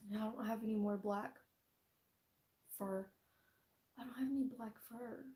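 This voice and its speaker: A soft-spoken woman talks at a moderate pace with a fairly high pitch and fairly even intonation. She leaves long, frequent pauses. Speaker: fursuit maker vlogger. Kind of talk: casual tutorial vlog. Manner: soft-spoken, quiet.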